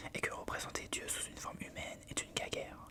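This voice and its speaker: A woman whispering at a fairly quick pace amid noticeable background noise. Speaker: ASMR creator reading aloud. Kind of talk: whispered book reading. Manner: whispered, soft.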